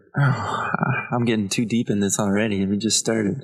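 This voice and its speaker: Noticeable noise fills the background. Against it, a man talks rather slowly. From Ontario, Canada (Belleville). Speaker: comedian. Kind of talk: casual chat.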